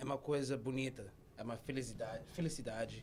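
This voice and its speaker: This is a man with a Brazilian accent. His pitch is medium. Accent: weak English, Brazilian Portuguese. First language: Portuguese. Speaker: comedy show guest. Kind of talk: comedic interview.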